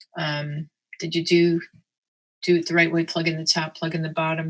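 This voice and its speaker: The woman's fairly low voice stays in a monotone, flat intonation. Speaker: math instructor. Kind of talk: lecture. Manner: fast.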